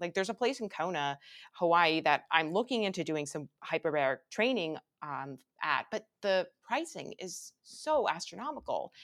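A woman with an ordinary speaking voice talks at a moderate pace and fairly low pitch, her intonation lively and the sound dry and close with no echo. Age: 30s. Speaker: YouTuber and biohacking podcaster. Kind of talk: casual interview chat.

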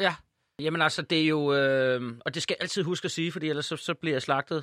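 A man with an ordinary speaking voice and ordinary pitch variation, in a dry, close sound with no echo against a quiet background. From Ærø, Denmark. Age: 30s. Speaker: actor and comedian. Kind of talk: casual chat.

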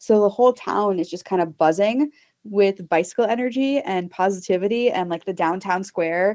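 A woman with an American accent and a normal speaking voice talks at a moderate pace and medium pitch, with ordinary pitch variation, in a dry, close sound with no echo against a quiet background. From Texas, US. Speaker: inclusive cycling advocate. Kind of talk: casual interview chat.

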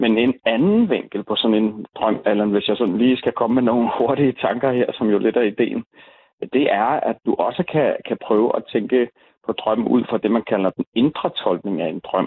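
Speaking at a moderate pace, a man keeps his loudness very even, with medium pitch and ordinary pitch variation. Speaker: author and dream interpreter. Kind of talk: casual chat. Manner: talkative.

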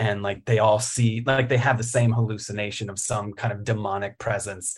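In a very clean recording with a silent background, a man with an American accent sounds somewhat breathy. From Virginia, Richmond. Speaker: writer. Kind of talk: casual chat.

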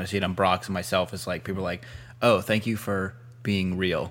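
In a plain, everyday voice, a man speaks at a fairly quick pace with fairly low pitch on a very clean recording with a silent background. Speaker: podcast host.

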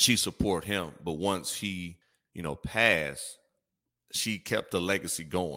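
The man speaks fairly slowly with an American accent, in a very deep, low voice. His tone is bright and sharp, with ordinary pitch variation. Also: very clean recording, silent background. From US Midwest, Gary, Indiana and Chicago. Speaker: podcaster and former basketball player. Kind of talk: casual chat.

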